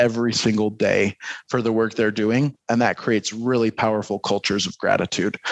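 Against a quiet background, a man talks at a fairly quick pace. His intonation stays flat and monotone. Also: dry, close sound with no echo. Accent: American. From US Midwest, Detroit. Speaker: marketing executive and adjunct professor. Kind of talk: casual interview. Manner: halting, many repeated words.

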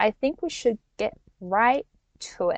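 A woman with a Norwegian accent at a moderate pace against a quiet background. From Norway. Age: 20s. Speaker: life coach and podcast host. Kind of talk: solo podcast monologue. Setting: in a van, possible background noise. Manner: casual, with fillers and laughs.

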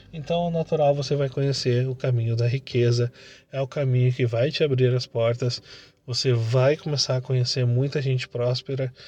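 Against a quiet background, a man speaks at a moderate pace in a medium-pitched, somewhat breathy voice with fairly even intonation. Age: 30s. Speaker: entrepreneur and motivational podcaster. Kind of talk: motivational monologue.

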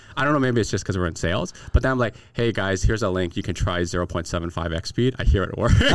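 A man with a very deep, low voice talks at a very fast pace with lively intonation and hardly any pauses, over noticeable background noise. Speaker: real estate broker and YouTuber. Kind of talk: casual interview. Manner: fast talker.

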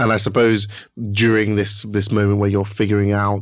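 A man's fairly low, flat monotone delivered at a fairly quick pace. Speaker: podcast host. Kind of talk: interview.

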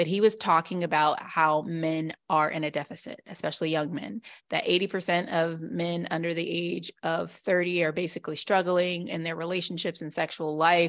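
A woman talks at a moderate pace with fairly even intonation. Hers is an unremarkable speaking voice, fairly low in pitch. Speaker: podcast co-host and ballet teacher. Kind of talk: casual chat.

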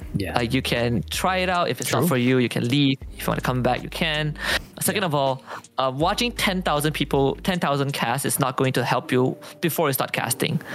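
The speaker talks at a fairly quick pace. Background noise is noticeable. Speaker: esports shoutcaster. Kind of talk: casual interview chat.

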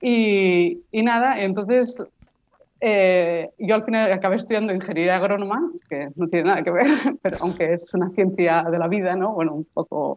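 A woman at a medium pitch, a normal speaking voice, with ordinary pitch variation and a moderate pace. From Barcelona, Spain. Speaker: postdoctoral researcher in weed science. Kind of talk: interview.

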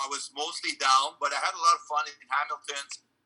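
A French Canadian accent at a fairly quick pace, bright and sharp in tone. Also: man. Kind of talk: interview.

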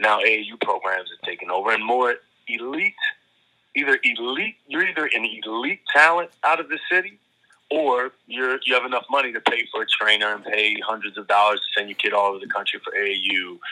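A man talks with a Baltimore accent. His pace is moderate. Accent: Baltimore, US Mid-Atlantic. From Baltimore, Maryland (South Baltimore). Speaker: high school basketball coach. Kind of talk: casual interview.

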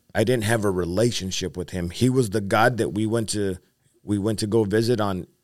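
With an American accent, a man speaks at a moderate pace and a fairly low pitch with ordinary pitch variation. The recording is very clean, with a silent background. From Whittier, California (Los Angeles area). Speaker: evangelist and army veteran. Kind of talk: testimony.

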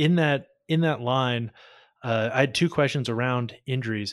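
At a moderate pace, a man speaks in a normal speaking voice at a medium pitch with fairly even intonation. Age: 20s. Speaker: golf podcast host. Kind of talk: podcast interview.

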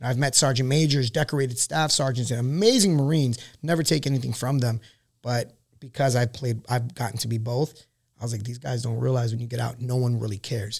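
With an American accent, a man talks at a very fast pace in a medium pitch. His voice is somewhat breathy, with fairly even intonation. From Queens, New York. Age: 30s. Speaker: Marine veteran and small business owner. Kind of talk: casual chat.

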